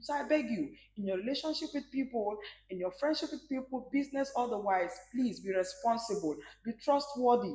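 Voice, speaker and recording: Room echo is audible as a woman speaks. Her pitch is high and her pace fairly quick. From Nigeria, Rivers State (Port Harcourt); Rivers State, Nigeria. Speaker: singer; interview guest. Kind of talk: interview. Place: bar. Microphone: lapel.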